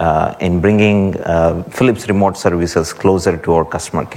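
A man speaks with a very deep, low pitch and ordinary pitch variation. Noticeable background noise runs underneath. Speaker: guest speaker from healthcare company. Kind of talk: conference talk. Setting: conference stage with audience.

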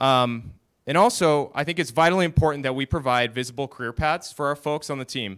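On a very clean recording with a silent background, a man speaks at a fairly quick pace. He has an ordinary speaking voice with ordinary pitch variation. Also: fairly high pitch for a man. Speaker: technical operations director. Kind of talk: conference talk. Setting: stage with audience.

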